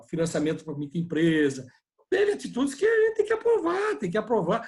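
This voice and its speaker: A man is speaking. His pace is fairly quick. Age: 60s. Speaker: politician. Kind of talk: video conference interview. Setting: video call.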